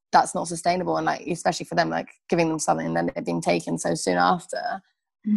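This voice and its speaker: At a fairly quick pace, a woman talks with a Birmingham accent. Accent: Birmingham English (Brummie). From England, Birmingham. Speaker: refugee aid volunteer. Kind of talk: interview.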